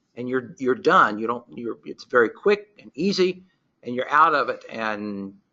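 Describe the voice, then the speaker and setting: An ordinary speaking voice from a man at medium pitch, moderate pace and lively intonation. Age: 60s. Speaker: research microscopist presenting a webinar. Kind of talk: webinar presentation. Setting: webinar.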